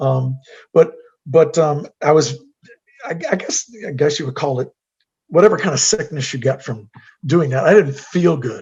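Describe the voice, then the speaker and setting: This man's voice is fairly high. It also sounds somewhat breathy. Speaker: guest speaker. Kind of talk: Q&A testimony. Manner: halting.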